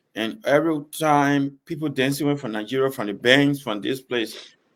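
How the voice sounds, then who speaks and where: A man with a Liberian accent, medium pitch, ordinary pitch variation and a moderate pace, on a very clean recording with a silent background. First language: Bassa. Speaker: gospel singer. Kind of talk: interview.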